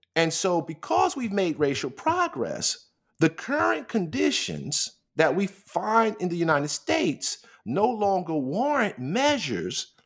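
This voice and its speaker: A man with a high-pitched voice speaks at a fairly slow pace, his pitch swinging very widely. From New York City (Queens, Manhattan). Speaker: philosophy professor, author. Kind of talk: interview about his book. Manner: many repetitions and fillers.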